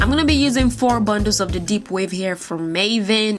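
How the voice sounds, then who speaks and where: Over noticeable background noise, a woman with a non-native accent speaks at a moderate pace in a medium pitch. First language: not English. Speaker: hair tutorial creator. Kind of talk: voiceover tutorial. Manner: casual, filler-heavy.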